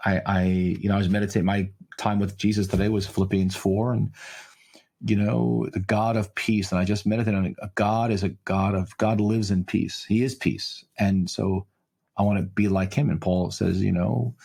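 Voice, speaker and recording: A man speaks at a moderate pace in a fairly low pitch with ordinary pitch variation and very even loudness, in a normal speaking voice. The recording is very clean with a silent background. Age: 60s. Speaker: pastor and author. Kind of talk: interview conversation. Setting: podcast interview.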